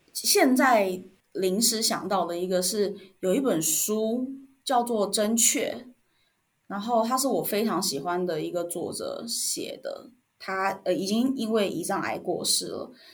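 In a Taiwanese accent, a woman with a fairly high pitch talks at a very slow pace with lively intonation, and audible room echo surrounds her. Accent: Taiwanese Mandarin. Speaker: former respiratory therapist, product and marketing manager. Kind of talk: interview.

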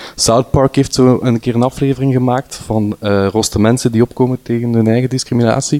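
The sound is dry and close with no echo. A man talks at a moderate pace. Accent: Flemish. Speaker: storyteller. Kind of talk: personal testimony. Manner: halting, many fillers.

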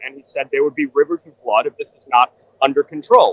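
A man with a New York accent at a fairly quick pace, the sound dry and close with no echo. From New York City. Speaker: political commentator. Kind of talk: live political analysis. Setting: outside a ballroom at an event.

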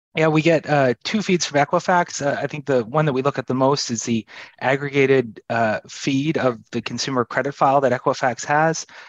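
In an unremarkable speaking voice, a man talks at a fairly quick pace with hardly any pauses, using a fairly high pitch, ordinary pitch variation and a dry, close sound with no echo. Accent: Canadian. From Canada. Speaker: economist. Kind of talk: casual chat.

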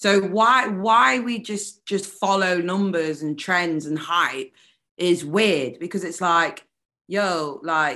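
Her fairly low-pitched voice has a bright, sharp tone and a strong British accent, with lively intonation. The woman is recorded against a quiet background. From United Kingdom. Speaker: neo-soul and hip hop singer. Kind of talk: casual interview chat. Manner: animated.

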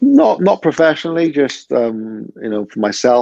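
In a Cardiff accent, a man speaks with lively intonation, recorded with a dry, close sound and no echo. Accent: Cardiff Welsh. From Wales, Cardiff (Butetown). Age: 30s. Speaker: stand-up comedian. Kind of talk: casual chat.

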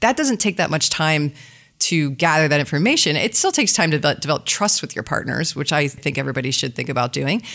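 A woman talks at a very fast pace with lively intonation. Her pitch is very deep and low. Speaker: business development executive. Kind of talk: casual interview chat. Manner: fast talker.

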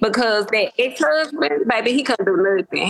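Against noticeable background noise, a woman talks at a moderate pace with a fairly high pitch and lively intonation. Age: 40s. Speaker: caller seeking dating advice. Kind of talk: casual chat.

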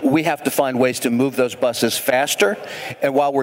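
Over noticeable background noise, the words come at a fairly quick pace. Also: man. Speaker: transit association CEO. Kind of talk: live panel discussion. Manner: energetic.

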